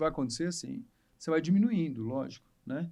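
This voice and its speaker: With lively intonation, a man talks at a very fast pace and a high pitch. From Rio de Janeiro state interior (Barra Mansa). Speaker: obstetrician. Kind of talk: casual chat.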